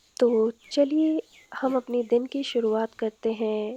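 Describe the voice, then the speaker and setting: Here is a woman with a fairly high pitch and a dark, mellow tone. The sound is dry and close, with no echo. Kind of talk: documentary voice-over narration.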